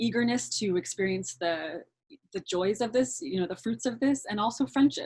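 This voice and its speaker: A woman's somewhat breathy voice at a moderate pace, with very wide pitch swings and a dry, close sound with no echo. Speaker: actor. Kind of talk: interviewer, casual conversation.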